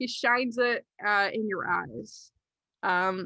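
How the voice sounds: The background stays quiet. A natural voice reads aloud, its pitch varying in an ordinary way.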